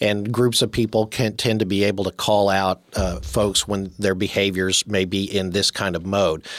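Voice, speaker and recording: Recorded very cleanly with a silent background, a plain, everyday voice moves at a fairly slow pace. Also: man. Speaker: priest and radio host. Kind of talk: radio interview. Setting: radio studio.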